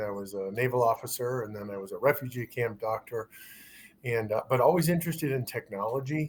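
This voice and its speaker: The speaker moves at a fairly quick pace in a somewhat breathy voice with ordinary pitch variation. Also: man. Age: 60s. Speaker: physician. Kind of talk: interview.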